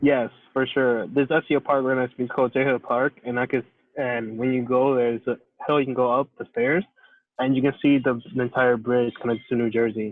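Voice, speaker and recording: Speaking fairly quickly with an American accent, a man keeps a monotone, flat intonation. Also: medium pitch for a man. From New York City. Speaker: interviewee. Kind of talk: casual chat. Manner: halting.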